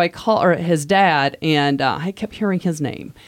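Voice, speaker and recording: In an American accent, a woman with a fairly low pitch speaks at a moderate pace with ordinary pitch variation. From US Midwest. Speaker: manual therapist. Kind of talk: interview, casual conversation.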